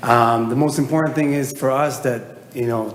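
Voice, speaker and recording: Fairly even intonation comes from a man, heard with audible room echo and noticeable background noise. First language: not English. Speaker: applicant homeowner. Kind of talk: public testimony at hearing. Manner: halting, many fillers.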